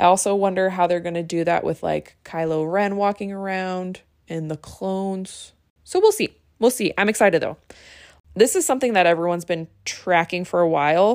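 A woman with a medium-pitched voice speaks in an animated tone at a moderate pace, with ordinary pitch variation. The recording is very clean, with a silent background. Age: 20s. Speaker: podcast host. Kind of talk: solo podcast monologue.

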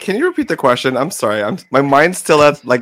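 Here is a man with a plain, everyday voice and an American accent. He keeps a moderate pace and ordinary pitch variation. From United States. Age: 20s. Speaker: podcast co-host (guest). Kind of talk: casual chat.

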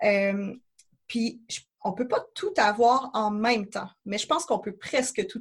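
Somewhat breathy and in a Quebec accent, the speech moves at a fairly slow pace with ordinary pitch variation. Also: woman. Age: 30s. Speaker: traveller. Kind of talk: podcast interview. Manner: casual.

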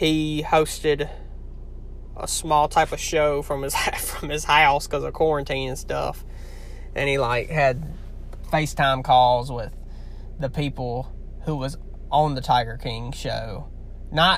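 In a strong Southern US accent, a man talks at a fairly slow pace with long, frequent pauses. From Louisiana. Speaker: podcast host. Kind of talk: casual chat. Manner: rambling, halting.

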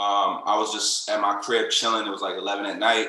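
Moderate-paced speech from a man, with audible room echo. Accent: American. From Florida (Lakeland). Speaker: rapper. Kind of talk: casual chat.

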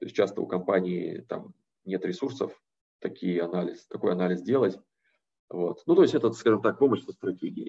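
Long, frequent pauses break up the speech. The pace is moderate. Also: man. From Siberia, Russia (Novosibirsk). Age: 30s. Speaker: private equity investor, guest lecturer. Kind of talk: lecture.

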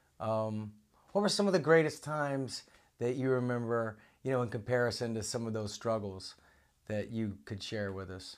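In a very clean recording with a silent background, a man with an unremarkable speaking voice talks at a moderate pace and medium pitch with ordinary pitch variation. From Oklahoma. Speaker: podcast host. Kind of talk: casual chat.

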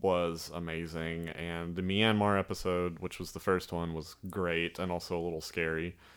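A man with a very deep, low voice and a slight Southern US accent talks at a fairly slow pace with fairly even intonation. The recording is very clean, with a silent background. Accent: slight Southern drawl. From Alabama. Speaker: filmmaker. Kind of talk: casual chat.

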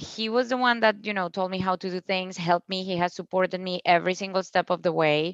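With a Spanish accent, the speaker moves at a fairly quick pace with fairly even intonation, in a dry, close sound with no echo against a quiet background. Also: woman. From Colombia, Cúcuta. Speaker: founder of a plastic-free store. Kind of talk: casual interview. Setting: video call.

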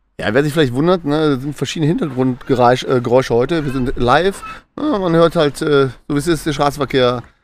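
A man's fairly high voice moves at a moderate pace, with ordinary variation in pitch. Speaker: podcast co-host. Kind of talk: casual chat. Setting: live in a stadium and pubs in Essen.

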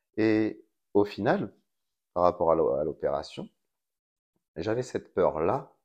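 A man speaks against a quiet background. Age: 30s. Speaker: school teaching assistant and amateur radio host. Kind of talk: interview. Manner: halting, many repetitions and hesitations.

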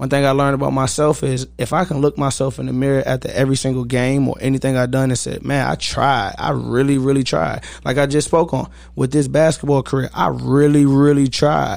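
A man's unremarkable speaking voice in an American accent, medium in pitch, fairly even in intonation and fairly quick in pace. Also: hardly any pauses. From Virginia, Newport News. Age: 20s. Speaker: athlete coach and mentor. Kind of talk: casual interview chat.

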